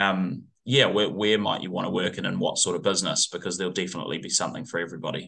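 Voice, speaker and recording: Very fast and bright, sharp in tone, a man speaks at a fairly low pitch with ordinary pitch variation in a New Zealand accent. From New Zealand, northwest of Auckland. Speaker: tourism industry executive. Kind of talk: interview. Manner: halting, repeats words.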